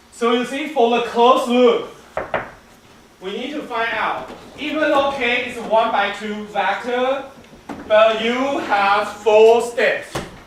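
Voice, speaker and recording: A man talks at a very slow pace with long, frequent pauses, his pitch extremely high and his intonation fairly even. Big swings in loudness come through alongside noticeable background noise and audible room echo. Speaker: instructor. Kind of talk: lecture.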